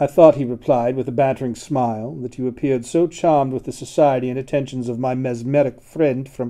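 With fairly even intonation, the voice reads aloud in an unforced manner.

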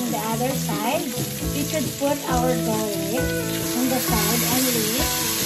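The speech moves at a very slow pace. Clear music plays in the background. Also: woman. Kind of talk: cooking tutorial. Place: kitchen.

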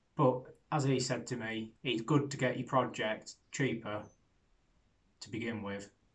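This man's intonation stays fairly even, and the background is quiet. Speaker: car hobbyist vlogger. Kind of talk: casual vlog chat. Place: garage. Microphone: phone near.

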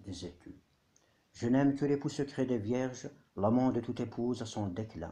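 The voice has a dark, mellow tone and is somewhat breathy, moving at a fairly slow pace with lively intonation. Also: man. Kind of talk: poetry reading. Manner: whispered, soft.

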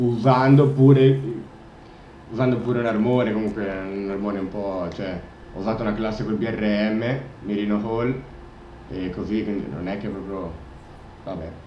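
The speech moves at a moderate pace with long, frequent pauses. Audible room echo and light background noise are present. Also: man, fairly low pitch for a man, ordinary pitch variation. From Italy. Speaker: gamer. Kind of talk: live gameplay commentary. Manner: animated; frustrated, swearing. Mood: mildly self-critical, relaxed. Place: home room.

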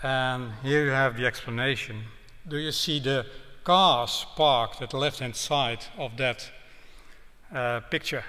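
With a Dutch accent, a man speaks in a bright, sharp tone at a fairly slow pace, with ordinary pitch variation and long, frequent pauses. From Netherlands. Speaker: road safety professor; guest lecturer. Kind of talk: public lecture; lecture. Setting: town hall with audience. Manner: hesitant, with fillers. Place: hall. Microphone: podium.

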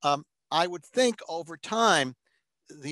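A man with an American accent, a bright, sharp tone and ordinary pitch variation, in a dry, echo-free sound with a quiet background. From New York. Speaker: psychologist presenter; webinar presenter. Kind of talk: webinar Q&A. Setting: webinar. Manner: fast. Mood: thoughtful, measured. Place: home room. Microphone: webcam.

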